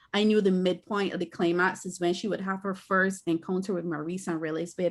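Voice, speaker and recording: A woman's fairly low, monotone voice with flat intonation, in a Barbadian accent, at a fairly quick pace with hardly any pauses. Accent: Barbadian (Bajan). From Barbados. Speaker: author and filmmaker. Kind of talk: interview.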